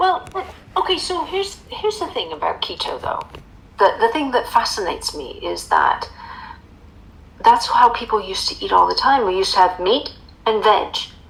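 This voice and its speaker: Over noticeable background noise, the speaker keeps a moderate pace broken by long, frequent pauses. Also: woman. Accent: American. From United States. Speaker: author and emotional eating coach. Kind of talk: interview.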